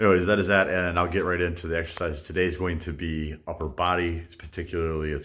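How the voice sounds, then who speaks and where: A man speaks with a very deep, low voice. His pace is fairly quick against a quiet background. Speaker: fitness vlogger. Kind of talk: casual vlog chat. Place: garage. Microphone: phone near.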